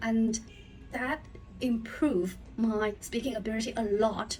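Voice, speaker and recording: Music plays in the background as a woman with a fairly high pitch speaks at a fairly slow pace with fairly even intonation. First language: not English. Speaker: English learner. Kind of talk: casual talk to camera.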